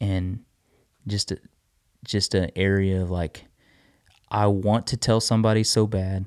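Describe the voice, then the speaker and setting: At a fairly slow pace, a man with a fairly low pitch speaks in a monotone, flat way, recorded very cleanly against a silent background with a dry, close sound and no echo. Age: 30s. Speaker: podcast co-host, husband. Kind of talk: casual chat.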